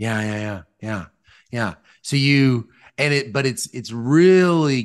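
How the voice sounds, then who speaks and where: Against a quiet background, a man talks with a Southern US accent. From US South, Mississippi. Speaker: podcast host, economics professor. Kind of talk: interview conversation. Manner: halting, many fillers and restarts.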